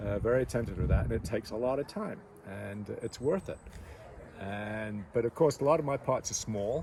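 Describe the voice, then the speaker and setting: A man with a plain, everyday voice talks at a fairly quick pace, with a medium pitch and lively intonation. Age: 60s. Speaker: potter. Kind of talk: interview.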